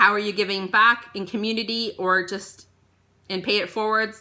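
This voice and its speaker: A woman's bright, sharp, monotone voice with flat intonation, on a very clean recording with a silent background. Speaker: tarot reader. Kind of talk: tarot reading. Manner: like a life coach.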